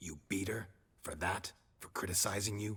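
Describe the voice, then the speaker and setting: Growling in a put-on character voice, a man speaks at a fairly low pitch. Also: moderate pace. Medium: video game. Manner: terse, deadpan.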